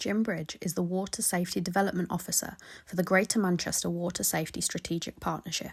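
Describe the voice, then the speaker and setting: Fairly low in pitch and somewhat breathy, a woman talks at a very fast pace. Her intonation stays monotone and flat. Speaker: radio reporter. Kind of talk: radio news reporting.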